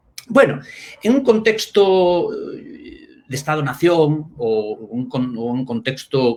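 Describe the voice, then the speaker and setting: A man speaks with a Spanish accent. His intonation is lively. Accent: Spain (Spanish accent). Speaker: linguistics professor. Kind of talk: academic talk in a live online discussion. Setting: live stream. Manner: halting, with many fillers.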